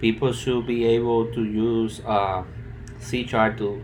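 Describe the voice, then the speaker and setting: In a strong Spanish accent, a man speaks at a very slow pace and fairly low pitch with monotone, flat intonation and audible room echo. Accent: thick Spanish. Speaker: student. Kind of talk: project presentation. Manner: halting.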